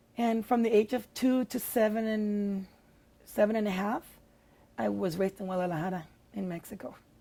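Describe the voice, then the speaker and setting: A woman with an American accent speaks at a medium pitch, her tone dark and mellow and somewhat breathy. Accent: slight accent noticed by others. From Orange County, California. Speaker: retired librarian. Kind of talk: interview.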